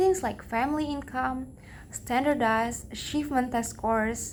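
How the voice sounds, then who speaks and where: A woman with a non-native accent, high pitch, moderate pace and ordinary pitch variation. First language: not English. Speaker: English language learner. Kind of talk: read-aloud pronunciation practice of a talk.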